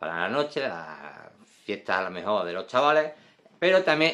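With a medium pitch and a moderate pace, a man talks over a quiet background. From Spain. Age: 40s. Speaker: perfume reviewer. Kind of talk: product review video. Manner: casual, frequent fillers. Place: home room. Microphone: phone near.

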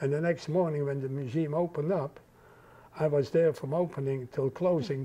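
Somewhat breathy and dark, mellow in tone, a man talks at a fairly quick pace with fairly even intonation. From Netherlands. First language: Dutch. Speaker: Holocaust survivor. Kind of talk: interview answer. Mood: earnest, reflective. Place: home room. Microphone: lapel.

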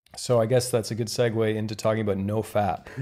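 A man with a Canadian accent speaks very fast in a fairly low voice with a dark, mellow tone. His intonation is monotone and flat. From Canada, rural Ontario. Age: 30s. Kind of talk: casual chat. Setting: hotel room.

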